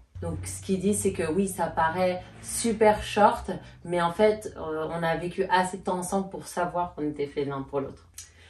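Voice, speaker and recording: A woman with a slight Swiss French accent speaks at a fairly slow pace, her fairly low pitch showing ordinary variation. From Switzerland, Geneva. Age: 30s. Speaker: YouTuber. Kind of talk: casual Q&A chat.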